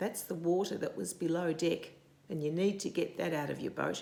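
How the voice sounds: A woman's fairly low voice with vocal fry, a slightly mellow tone, fairly even intonation and a moderate pace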